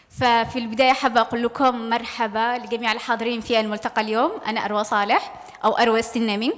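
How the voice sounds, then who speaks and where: Against noticeable background noise, a woman talks at a fairly quick pace with fairly even intonation. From Yemen. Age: young. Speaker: journalist and project coordinator. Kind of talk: panel testimony. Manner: hesitant, many fillers.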